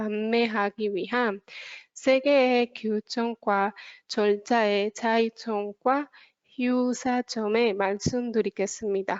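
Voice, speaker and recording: Speaking at a very slow pace with a non-native accent, a woman uses a fairly high pitch and fairly even intonation. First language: not Korean (speaking Korean). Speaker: consultancy researcher presenter. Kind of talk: webinar presentation.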